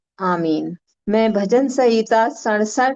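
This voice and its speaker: Over a quiet background, a woman speaks in a fairly high pitch. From India, Gorakhpur (eastern Uttar Pradesh). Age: 60s. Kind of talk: testimony. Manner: hesitant, frequent filler sounds.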